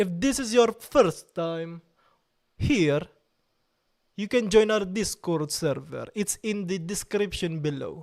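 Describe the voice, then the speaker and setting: A man with a high pitch and lively intonation, very slow, with long, frequent pauses. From Italy. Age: 30s. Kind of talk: casual chat with live chat readout. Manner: animated.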